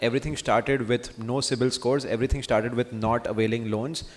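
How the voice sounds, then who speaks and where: There is noticeable background noise behind a man. He speaks at a medium pitch with fairly even intonation. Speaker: venture capital investor. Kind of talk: conference talk. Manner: fast.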